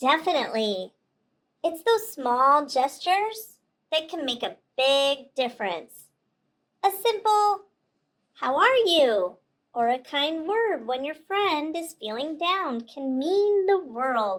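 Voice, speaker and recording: A woman puts on a cartoonish character voice, pitched high. She moves at a fairly slow pace with long, frequent pauses. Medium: puppet. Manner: calm, earnest.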